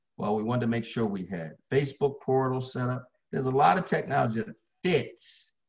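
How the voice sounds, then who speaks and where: Somewhat breathy man with an American accent, medium pitch, in a quiet background. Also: fairly quick pace. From Baltimore, Maryland. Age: 60s. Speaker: fitness trainer. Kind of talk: interview. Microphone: video call.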